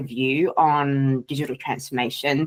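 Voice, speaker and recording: A woman speaks at a fairly slow pace with a slight Australian accent. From Australia, Sydney. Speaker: data and AI culture consultant. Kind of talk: podcast interview.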